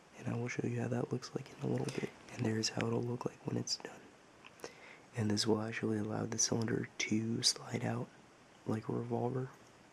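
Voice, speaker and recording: Background noise can clearly be heard. The delivery keeps a moderate pace. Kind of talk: hobby tutorial narration.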